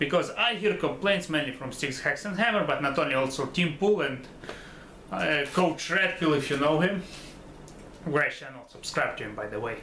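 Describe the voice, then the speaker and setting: A man's fairly high voice with lively intonation at a moderate pace, plus audible room echo and noticeable background noise. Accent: Russian. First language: Russian. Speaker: YouTuber commentator. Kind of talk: casual monologue commentary. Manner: halting, repeats words; stutters occasionally.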